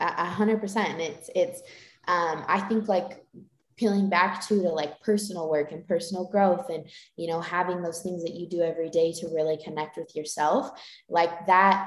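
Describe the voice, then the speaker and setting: A woman speaks in a plain, everyday voice with an American accent. Her pitch is fairly low and her pace moderate. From Utah. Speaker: dancer. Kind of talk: casual chat.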